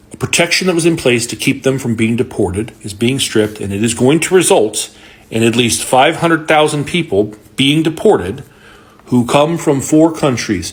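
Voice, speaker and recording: Speaking at a moderate pace with an American accent, a man uses medium pitch and lively intonation, his voice somewhat breathy. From Florida. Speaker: social media commentator. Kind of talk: political commentary. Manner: emphatic.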